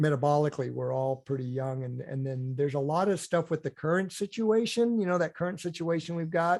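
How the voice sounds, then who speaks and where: A man's unremarkable speaking voice, fairly high-pitched with ordinary pitch variation, at a fairly quick pace, on a very clean recording with a silent background. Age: 60s. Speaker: endurance nutrition coach and ultra athlete. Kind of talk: podcast interview. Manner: casual, repetitive with many fillers and restarts.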